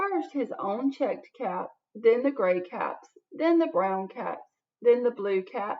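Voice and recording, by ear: Speaking at a slow pace, a woman with fairly high pitch makes big pitch swings.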